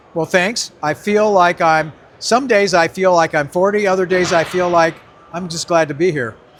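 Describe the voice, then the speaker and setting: A man with a high voice talks at a moderate pace amid noticeable background noise. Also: ordinary pitch variation. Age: 80s+. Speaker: drag racer. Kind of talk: interview answer.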